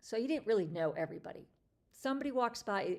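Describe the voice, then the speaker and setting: A woman talks with a plain, everyday voice. Her pace is fairly quick and her intonation lively. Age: 50s. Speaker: lifestyle livestream host. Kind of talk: casual chat. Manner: conversational with fillers.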